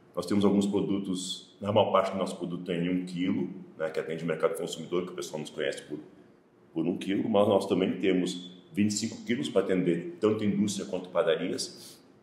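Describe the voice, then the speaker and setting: Fairly quick speech with audible room echo. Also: man, very deep, low pitch for a man. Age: 60s. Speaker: business owner, mill director. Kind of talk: interview at factory.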